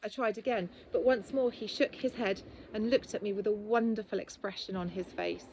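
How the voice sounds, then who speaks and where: With a plain, everyday voice, a woman talks at a fairly quick pace in a fairly high pitch and fairly even intonation. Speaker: author. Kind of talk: reading of a personal testimony from a book.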